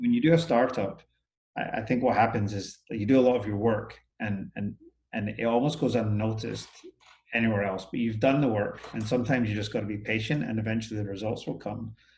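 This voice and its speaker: A man at medium pitch with fairly even intonation, speaking at a very fast pace. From Scotland. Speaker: business owner. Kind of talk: interview. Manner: hesitant, many fillers.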